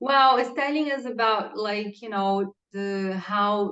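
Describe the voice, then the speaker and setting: In a Portuguese accent, a woman speaks very slowly at a medium pitch with ordinary pitch variation. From Brazil, Santos (near São Paulo). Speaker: pregnant podcast guest. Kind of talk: casual interview.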